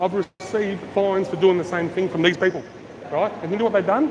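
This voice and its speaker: A man with an Australian accent talks loudly at a very fast pace in a high pitch, with noticeable background noise and audible room echo. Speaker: street auditor filming public officials. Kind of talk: heated confrontation on camera. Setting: outdoors at a train station.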